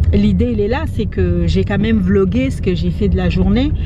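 A woman at a moderate pace, with ordinary pitch variation, a dry sound with no echo, and loud background noise. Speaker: vlogger. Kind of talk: casual vlog chat. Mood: calm, slightly defensive. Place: car. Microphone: phone near.

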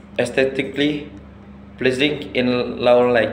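A man with fairly even intonation, audible room echo, and light background noise. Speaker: student. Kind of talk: class product presentation. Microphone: webcam.

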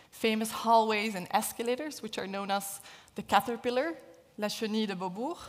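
A woman with ordinary pitch variation. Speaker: engineering professor. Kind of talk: lecture. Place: hall. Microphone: headset.

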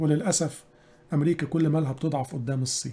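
A man speaks with an Egyptian accent at a fairly high pitch. His tone is dark and mellow, and his pace is moderate. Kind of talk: religious lecture on current events.

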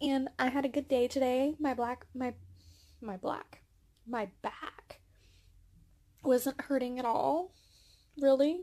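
Soft-spoken, a woman with a high pitch and a dark, mellow tone speaks at a very slow pace with fairly even intonation and long, frequent pauses. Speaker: booktuber vlogger. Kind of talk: casual vlog chat. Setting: bedroom at parents' home. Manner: soft-spoken, talking quietly; hesitant, many fillers.

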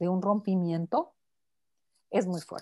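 Over a quiet background, a woman speaks in a dark, mellow tone. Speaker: psychotherapist and author; guest. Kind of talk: interview answer. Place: home room. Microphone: earbuds.

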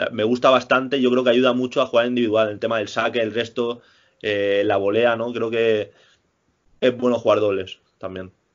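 An ordinary speaking voice, a man at medium pitch and moderate pace with fairly even intonation. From Spain. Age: 20s. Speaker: professional tennis player. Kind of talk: interview. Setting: remote call from home.

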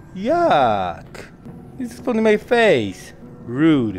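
A man speaks with music in the background. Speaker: VR gameplay streamer. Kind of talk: casual gameplay commentary.

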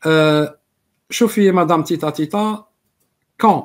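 A man speaks with lively intonation. His pace is fairly quick. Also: quiet background. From Algeria. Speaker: political commentator. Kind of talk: live stream political monologue. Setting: live stream with viewers. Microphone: webcam.

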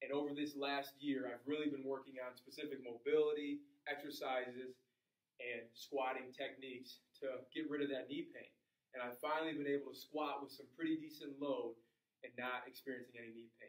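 Talking at a fairly quick pace, a man keeps his intonation monotone and flat. Audible room echo is heard, though the background is quiet. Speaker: fitness trainer. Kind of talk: tutorial. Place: gym. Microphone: camera far.

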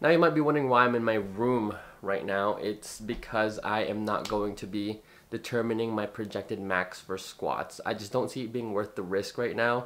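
The intonation stays fairly even. A man delivers his words at a moderate pace. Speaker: powerlifter vlogger. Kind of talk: casual vlog chat. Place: home room.

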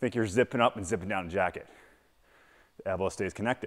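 A man's very fast speech with ordinary pitch variation against a quiet background. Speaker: kettlebell coach. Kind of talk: tutorial. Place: gym.

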